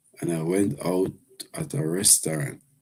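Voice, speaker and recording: A man talks at a fairly slow pace with a Jamaican accent. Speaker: live streamer. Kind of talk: casual live stream chat. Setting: live stream with earpiece.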